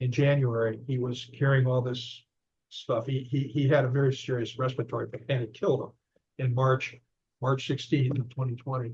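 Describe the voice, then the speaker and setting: Speaking at a moderate pace, a man sounds somewhat breathy, with a medium pitch and monotone, flat intonation. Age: 70s. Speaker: author and investigator. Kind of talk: interview. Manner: halting.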